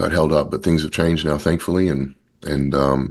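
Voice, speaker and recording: A fairly quick pace with a slight Australian accent over a quiet background. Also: man. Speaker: company founder. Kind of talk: interview. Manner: halting, many repetitions and fillers.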